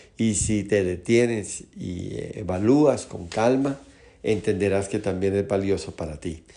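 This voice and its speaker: Amid audible room echo, a man talks fairly slowly in a dark, mellow tone at a fairly low pitch. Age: 60s. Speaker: pastor. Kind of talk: sermon.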